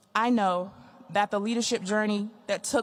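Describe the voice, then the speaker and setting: The speech carries an American accent. Its intonation is monotone and flat. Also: woman. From Texas, Wichita Falls. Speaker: retiring air force chief master sergeant. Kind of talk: retirement speech. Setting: ceremony with audience. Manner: loud.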